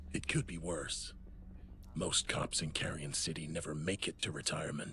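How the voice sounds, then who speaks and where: Over clear background noise, a man in a put-on character voice delivers a deadpan tone at a moderate pace with a very deep, low pitch. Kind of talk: hard-boiled voice-over. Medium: video game. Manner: gravelly noir monotone, deadpan.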